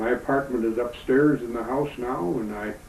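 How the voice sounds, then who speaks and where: Medium-pitched male voice at a moderate pace with fairly even intonation, plus audible room echo and noticeable background noise. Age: 70s. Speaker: retired Navy veteran and grandfather. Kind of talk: interview. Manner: halting, many fillers and repeats.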